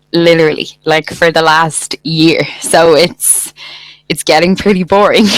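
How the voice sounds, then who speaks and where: This woman speaks in a Dublin accent with a fairly low pitch. Her loudness stays very even, and her intonation is fairly even too. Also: fairly slow pace. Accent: Irish, Dublin. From Ireland, Dublin. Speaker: English tutor. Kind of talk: casual chat.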